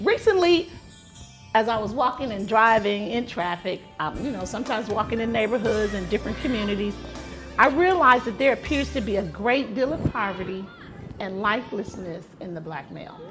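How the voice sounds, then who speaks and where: With music in the background, a woman speaks at a fairly quick pace, her fairly high pitch carrying lively intonation. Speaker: podcast host. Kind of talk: podcast monologue intro.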